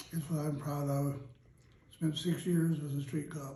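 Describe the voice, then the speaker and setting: A man at a fairly slow pace, somewhat breathy, with a dark, mellow tone. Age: 80s+. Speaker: retired police detective. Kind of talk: interview answer.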